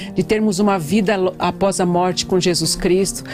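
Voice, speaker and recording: Over music in the background, a woman speaks at a moderate pace with ordinary pitch variation. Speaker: pastor and psychologist. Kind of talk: radio interview answer.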